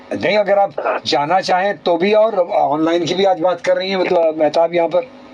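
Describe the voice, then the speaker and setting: The speech moves at a moderate pace with fairly even intonation and very even loudness. Noticeable background noise sits behind it. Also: man, high pitch for a man. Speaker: radio host. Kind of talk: call-in radio talk show. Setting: radio studio.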